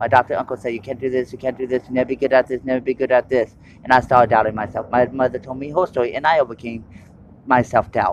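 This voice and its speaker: Loud and very fast, a man talks at a medium pitch in a monotone, flat delivery, recorded with a dry, close sound and no echo. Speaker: testimony speaker. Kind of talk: testimony. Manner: halting; uneven loudness.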